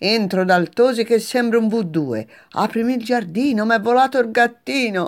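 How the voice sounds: Natural reading voice, ordinary pitch variation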